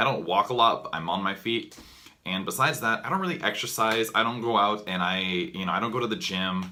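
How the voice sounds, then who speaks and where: Fairly quick speech from a man with a fairly low pitch. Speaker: vlogger. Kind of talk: casual monologue to camera. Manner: fast; halting, many fillers.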